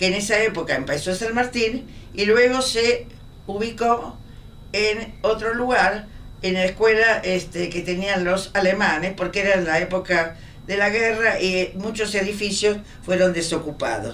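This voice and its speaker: Room echo is audible, and so is noticeable background noise. A woman speaks at medium pitch and a fairly slow pace, with ordinary pitch variation. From Argentina, Buenos Aires. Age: 90s. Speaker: professor. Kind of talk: oral history interview.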